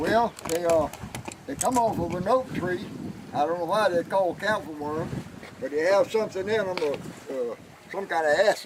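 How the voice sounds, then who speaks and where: A man with a Southern US accent talks at a moderate pace in a high voice, with ordinary pitch variation. He leaves long, frequent pauses, and noticeable background noise can be heard. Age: 80s+. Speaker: retiree. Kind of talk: on-location TV interview.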